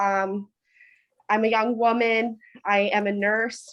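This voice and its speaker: Against a quiet background, a woman with an American accent speaks at a fairly high pitch. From US Northeast (Hudson Valley, New York). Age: 20s. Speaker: local election candidate, nurse. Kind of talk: candidate speech at online forum. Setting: video call.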